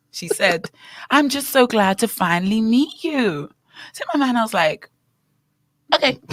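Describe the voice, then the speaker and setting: In a British accent and an animated tone, the speaker goes fairly slowly with long, frequent pauses and very wide pitch swings, in a dry, close sound with no echo. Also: woman. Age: young. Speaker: radio co-host and teacher. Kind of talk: casual chat.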